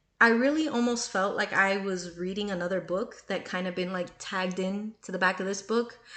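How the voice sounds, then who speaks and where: At a moderate pace, a woman talks in an animated tone. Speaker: book reviewer. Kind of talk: casual book review monologue.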